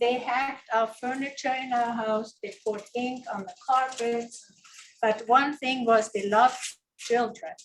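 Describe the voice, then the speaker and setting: High, fairly level-toned female voice. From Germany, Hessen. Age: 70s. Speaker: guest speaker. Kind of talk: personal life story talk. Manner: halting.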